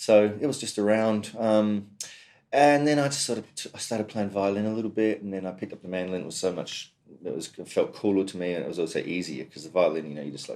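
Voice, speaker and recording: In a very clean recording with a silent background, a man with a fairly low, dark and mellow voice talks very fast, his intonation lively and his loudness swinging widely. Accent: Australian. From South Australia, Adelaide. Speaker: mandolin player. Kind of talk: interview. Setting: music store room.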